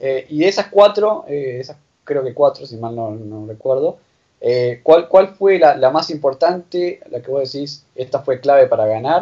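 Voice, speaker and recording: In a Rioplatense accent, a man speaks at a fairly high pitch with lively intonation. His loudness swings widely. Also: fairly slow pace. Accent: Argentine Spanish (rioplatense). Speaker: podcast host. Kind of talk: interview. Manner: halting.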